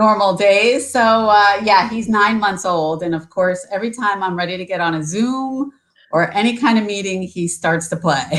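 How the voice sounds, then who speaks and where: A woman's medium-pitched voice in a US Northeastern accent, moderate in pace, with ordinary pitch variation. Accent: US Northeast. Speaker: tour company sales representative. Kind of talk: interview on video call. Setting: video call.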